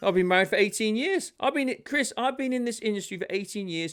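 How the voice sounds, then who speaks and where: A man with a British accent speaks at a fairly quick pace, his pitch swinging very widely. The recording is very clean, with a silent background. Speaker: leadership speaker and army veteran. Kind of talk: podcast interview.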